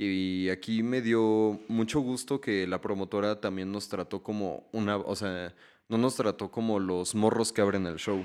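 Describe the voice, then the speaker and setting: A man talks at a fairly slow pace with fairly low pitch and fairly even intonation. It is a plain, everyday voice over a quiet background. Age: 20s. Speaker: musician. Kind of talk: casual chat.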